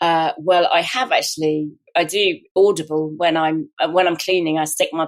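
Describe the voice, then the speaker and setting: A woman with a southern English accent, fairly low in pitch, at a moderate pace. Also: very even loudness. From southern England, Hampshire. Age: 60s. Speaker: wrongly prosecuted sub-postmaster. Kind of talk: interview. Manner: halting.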